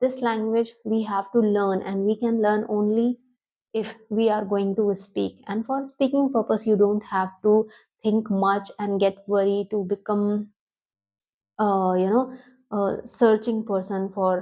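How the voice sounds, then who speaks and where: Over a silent background in a very clean recording, the speaker talks with an Indian accent at a fairly slow pace, the tone dark and mellow and the intonation monotone and flat. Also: woman, medium pitch for a woman. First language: Hindi. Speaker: English teacher on video channel. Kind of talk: tutorial. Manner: halting.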